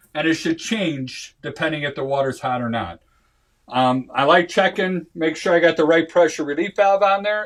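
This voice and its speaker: A man speaks at a moderate pace with ordinary pitch variation and a fairly high pitch. The recording is very clean, with a silent background. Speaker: home inspector. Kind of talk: training seminar. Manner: halting.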